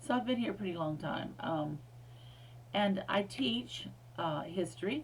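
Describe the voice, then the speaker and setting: A woman at a moderate pace, with audible room echo. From US, Air Force bases in several states. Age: 60s. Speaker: history professor. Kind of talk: recorded lecture. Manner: casual, with many fillers.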